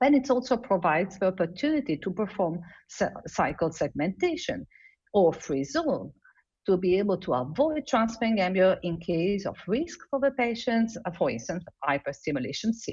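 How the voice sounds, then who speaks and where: A woman with an Italian accent speaks at a moderate pace and medium pitch, her voice somewhat breathy. Her pitch swings very widely against a quiet background. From Italy. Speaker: embryologist. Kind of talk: lecture. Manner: halting.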